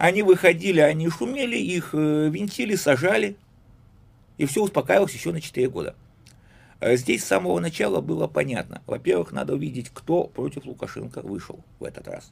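On a very clean recording with a silent background, a man speaks at a moderate pace with big swings in loudness. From Belarus. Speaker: philologist and writer. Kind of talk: casual chat. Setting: studio.

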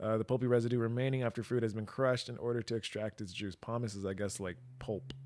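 Animated and very fast, a man talks at a medium pitch. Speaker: podcast co-host. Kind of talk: casual banter, profane. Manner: animated, profane, joking.

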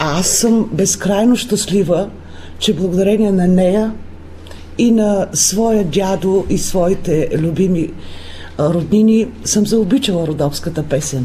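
A woman speaks at a very slow pace with ordinary pitch variation and very even loudness. Room echo is audible, and background noise is noticeable. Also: medium pitch for a woman. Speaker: folk group leader and music teacher. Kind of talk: radio interview. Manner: animated.

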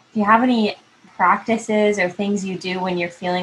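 Noticeable background noise fills the clip. A woman speaks with monotone, flat intonation. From California. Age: 20s. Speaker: podcast host. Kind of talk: casual chat.

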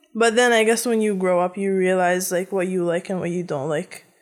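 In a very clean recording with a silent background, a woman with an American accent and an unremarkable speaking voice talks at medium pitch with ordinary pitch variation. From United States, Egyptian family. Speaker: technical writer. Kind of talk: casual chat.

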